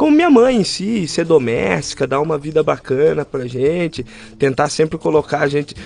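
A man with an ordinary speaking voice, fairly high in pitch, at a moderate pace and with lively intonation. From interior of São Paulo state, Brazil (Rio das Pedras). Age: 20s. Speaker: barber, small business owner. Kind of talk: casual interview conversation.

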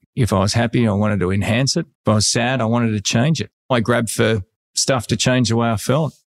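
Speaking at a very fast pace with an Australian accent, a man keeps his loudness very even and his pitch variation ordinary, in a very clean recording with a silent background and a dry, close sound with no echo. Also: medium pitch for a man. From Australia (Sydney, Bronte). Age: 50s. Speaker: real estate agent. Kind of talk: casual interview conversation.

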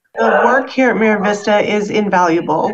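With an American accent, a woman speaks at a medium pitch and a moderate pace, with audible room echo. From US Midwest. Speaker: nurse and hospital administrator. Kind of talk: interview.

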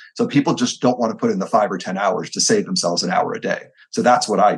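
Very fast and with very wide pitch swings, a man talks in a fairly high pitch with vocal fry. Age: 40s. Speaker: entrepreneur and army veteran. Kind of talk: interview.

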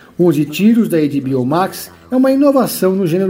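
Over noticeable background noise, a man speaks in a dramatic tone at a high pitch with lively intonation. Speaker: podcast host and series reviewer. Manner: measured, polished, dramatic-toned.

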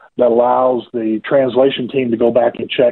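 A slight Southern US accent comes through. The pace is moderate. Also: man. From US South, rural Georgia. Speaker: ministry leader. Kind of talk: radio interview. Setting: phone call.

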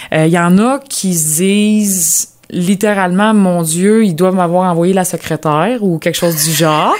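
With hardly any pauses, an unremarkable speaking voice moves at a fairly slow pace, its loudness very even and its pitch varying in an ordinary way. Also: woman, medium pitch for a woman. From Quebec, Lanaudière. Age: 20s. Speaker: agricultural mechanic. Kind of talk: interview.

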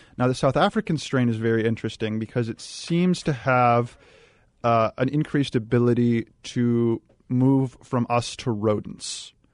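In a dry, close sound with no echo, a man with a plain, everyday voice speaks at a moderate pace, medium pitch and ordinary pitch variation. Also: quiet background. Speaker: analytics company director. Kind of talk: talk radio discussion. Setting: studio. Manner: analytical.

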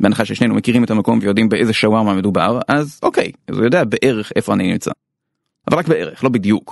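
Very fast and at medium pitch, a man talks with ordinary pitch variation in a dry, close sound with no echo. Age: middle-aged. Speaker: podcast host. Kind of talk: scripted narration.

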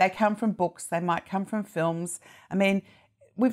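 A woman with an Australian accent speaks at a moderate pace and medium pitch on a very clean recording with a silent background. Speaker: TV critic. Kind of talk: casual chat.

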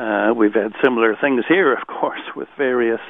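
A plain, everyday voice with an American accent, a moderate pace and fairly even intonation. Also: man. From United States. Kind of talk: radio interview.

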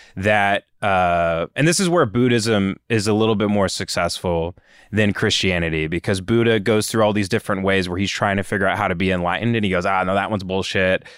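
An ordinary speaking voice from a man with an American accent, fairly low in pitch with fairly even intonation and very even loudness, at a fairly quick pace with hardly any pauses, on a very clean recording with a silent background. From West Texas. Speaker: film producer. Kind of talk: casual chat.

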